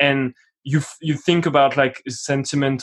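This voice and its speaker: In a French accent, a man speaks at a medium pitch and a moderate pace with monotone, flat intonation. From France, Paris. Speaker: musician and film buff guest. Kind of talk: casual film discussion podcast.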